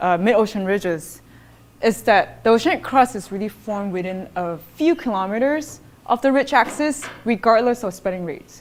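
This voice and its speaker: Loud and with very wide pitch swings, a woman speaks. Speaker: geoscience researcher. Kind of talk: lecture. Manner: halting, many fillers.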